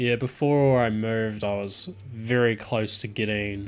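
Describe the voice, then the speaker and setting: The speaker has a Southland New Zealand accent and fairly even intonation. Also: man. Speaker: tech streamer. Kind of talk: live stream chat. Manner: casual, hesitant with fillers.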